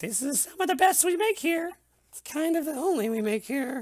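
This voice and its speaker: Mumbling in a high pitch, the speaker puts on a character voice. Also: moderate pace. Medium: actual play. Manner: grumbling, mumbling.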